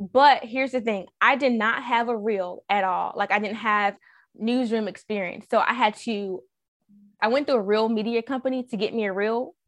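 A woman with an American accent speaks in a plain, everyday voice at a fairly high pitch. She keeps a moderate pace and fairly even intonation over a quiet background. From US South. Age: 30s. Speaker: TV news reporter and weekend anchor. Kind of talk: interview.

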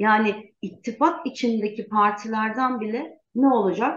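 Fairly slow delivery in an unremarkable speaking voice, pitch varying in an ordinary way. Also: woman. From Turkey, Gaziantep. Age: 40s. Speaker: lawyer and parliamentary candidate. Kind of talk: interview.

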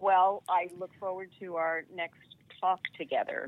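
Flat and monotone in intonation, a woman speaks fairly slowly. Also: medium pitch for a woman. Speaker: podcast guest, doctor giving life advice. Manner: calm.

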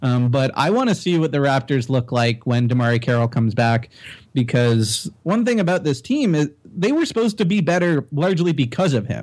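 With a plain, everyday voice and a Canadian accent, a man speaks at a fairly quick pace and a fairly high pitch. His intonation is lively, his loudness very even, and the recording very clean with a silent background. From Canada (Toronto). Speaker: basketball writer. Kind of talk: casual chat.

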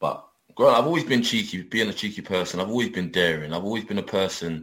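A man with a London accent speaks very fast at a fairly low pitch. His intonation is lively. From London, England. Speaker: adult film performer. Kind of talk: casual interview.

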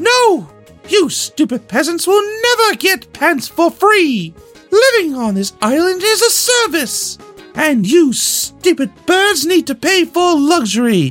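Over faint background music, a man does a put-on character voice at a fairly slow pace. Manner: arrogant, angry.

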